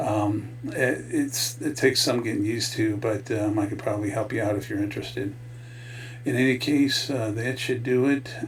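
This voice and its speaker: Speaking at a moderate pace, a man uses a medium pitch and fairly even intonation. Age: 60s. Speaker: network marketing affiliate. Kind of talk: casual talk to camera, product promotion. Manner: hesitant, many filler words.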